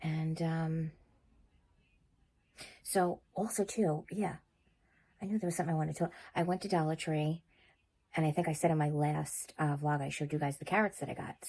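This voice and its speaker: A woman's very deep, low voice, dark and mellow in tone, at a moderate pace with long, frequent pauses, on a very clean recording with a silent background. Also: fairly even intonation. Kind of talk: casual vlog talk to camera. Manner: relaxed, chatty.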